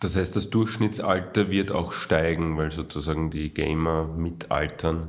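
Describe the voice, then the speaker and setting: With a very deep, low pitch, a man speaks at a fairly slow pace with fairly even intonation and hardly any pauses. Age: 30s. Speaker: podcast host. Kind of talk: interview.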